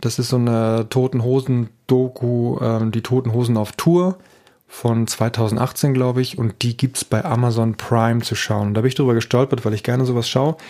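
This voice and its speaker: Talking at a moderate pace, a man has a medium pitch and a dark, mellow tone. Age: 40s. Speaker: podcast host, father. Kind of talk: casual chat. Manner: animated.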